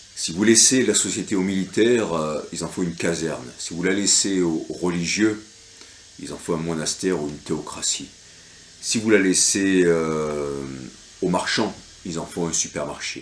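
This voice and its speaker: Very deep and low in pitch, a man speaks at a fairly slow pace with ordinary pitch variation and long, frequent pauses. Noticeable background noise and audible room echo are present. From France. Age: 50s. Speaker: local election candidate. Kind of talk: reading aloud a campaign leaflet. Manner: hesitant, many fillers.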